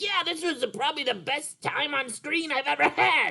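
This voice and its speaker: Someone performs a cartoonish character voice at a moderate pace. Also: man. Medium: puppet. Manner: hesitant.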